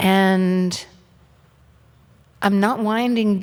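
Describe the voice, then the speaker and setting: A woman with an American accent, medium in pitch, at a very slow pace, with fairly even intonation and audible room echo. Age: 60s. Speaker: author. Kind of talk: on-stage interview. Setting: stage with audience.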